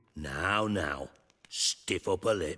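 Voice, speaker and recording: Putting on a character voice, a man growls at a very deep, low pitch. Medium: video game. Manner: sardonic, profane.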